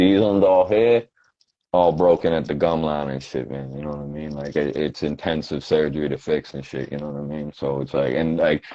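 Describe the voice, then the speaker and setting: A man with a Boston accent talks fairly quickly at a very deep, low pitch, with ordinary pitch variation and big swings in loudness. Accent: Boston-area New England. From Quincy, Massachusetts. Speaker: rapper. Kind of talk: casual interview chat.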